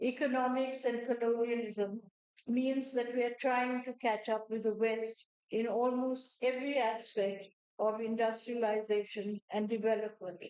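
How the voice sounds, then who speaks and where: This woman has a high pitch and talks at a fairly slow pace. Her intonation stays monotone and flat. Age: 70s. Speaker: crafts advocate and speaker. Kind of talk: speech.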